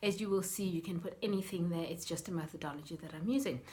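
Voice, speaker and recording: A somewhat breathy woman at a fairly quick pace. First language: Sepedi (Northern Sotho). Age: 40s. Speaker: life coach. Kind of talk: vlog explainer.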